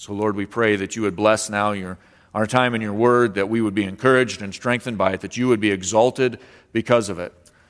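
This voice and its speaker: In a very clean recording with a silent background, a man with an unremarkable speaking voice talks at a fairly low pitch and a fairly quick pace, his intonation fairly even. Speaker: pastor. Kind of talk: sermon with prayer; fervent prayer. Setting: church. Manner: earnest, reverent; measured, pausing often.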